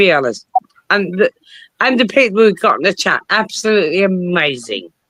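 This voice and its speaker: A woman speaks at a medium pitch with very wide pitch swings. Vocal fry runs through her voice. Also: big swings in loudness. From Ireland. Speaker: livestream participant. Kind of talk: casual chat. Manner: animated.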